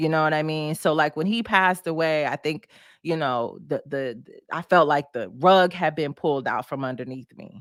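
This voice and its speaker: A woman with an American accent speaks at a moderate pace in a very deep, low voice with ordinary pitch variation. The recording is very clean with a silent background and a dry, close sound with no echo. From Detroit, US Midwest. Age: 40s. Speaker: broadcaster and storyteller. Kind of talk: interview conversation. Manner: halting, with many repetitions.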